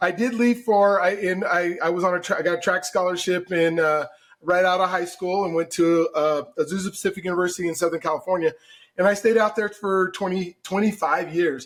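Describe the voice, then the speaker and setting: A man with an American accent talks in a high pitch with fairly even intonation. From Colorado, Denver. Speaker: mortgage broker. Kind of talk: podcast interview.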